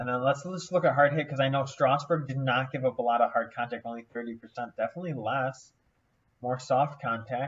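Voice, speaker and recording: This man's voice is somewhat breathy. His intonation stays fairly even. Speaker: fantasy baseball content creator. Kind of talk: casual screen-share analysis. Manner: thinking aloud with fillers; mumbling.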